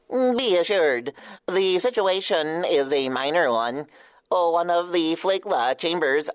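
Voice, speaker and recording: A put-on character voice at a middle pitch delivers the lines at a fairly slow pace. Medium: audio drama. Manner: formal, precise.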